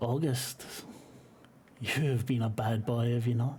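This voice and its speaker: A man uses a put-on character voice that is raspy. He speaks at a moderate pace with a medium pitch. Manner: menacing, scolding.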